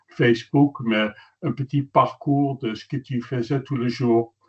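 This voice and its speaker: A man speaks at a fairly slow pace in a medium pitch, his voice somewhat breathy and his intonation fairly even. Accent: American. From Netherlands. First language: Dutch (speaking French). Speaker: journalist and photographer. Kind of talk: webinar presentation. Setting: webinar.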